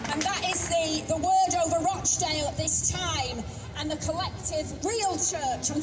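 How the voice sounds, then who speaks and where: With music in the background and audible room echo, a woman speaks at an extremely high pitch and a fairly slow pace. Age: 60s. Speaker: author and abuse survivor speaker. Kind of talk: public speech at a rally.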